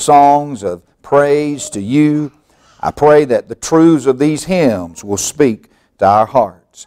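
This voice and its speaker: The background is quiet as a man delivers his words very slowly. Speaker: pastor leading worship. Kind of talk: prayer. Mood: reverent, calm. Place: church.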